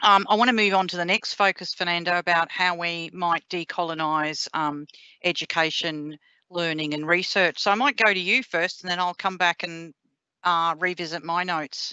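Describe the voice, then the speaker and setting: A woman speaks with a strong Australian accent. Her pace is moderate and her intonation fairly even. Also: fairly low pitch for a woman. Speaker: professor. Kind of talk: panel discussion. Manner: direct, blunt.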